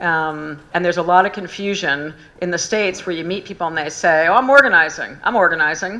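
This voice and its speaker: Talking at a very fast pace, a woman has a fairly low pitch and a bright, sharp tone. Her intonation stays fairly even. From US South. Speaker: union organiser and author. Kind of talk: public talk. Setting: live event with audience.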